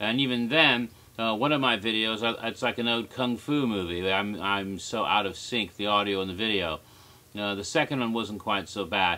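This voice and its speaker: Using an unremarkable speaking voice, a man speaks at a moderate pace with fairly low pitch and ordinary pitch variation. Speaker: theme park history commentator. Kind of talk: casual talk to camera.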